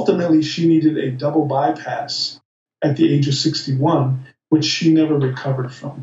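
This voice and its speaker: A man with a Midwestern American accent talks at a moderate pace, fairly high in pitch and monotone, with flat intonation. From US Midwest, Michigan. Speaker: plant-based diet advocate. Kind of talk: interview.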